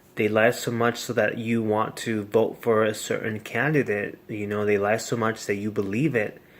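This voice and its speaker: A man talks at a moderate pace and medium pitch with hardly any pauses. His intonation is monotone and flat. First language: Spanish. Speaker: vlogger. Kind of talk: casual monologue. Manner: halting.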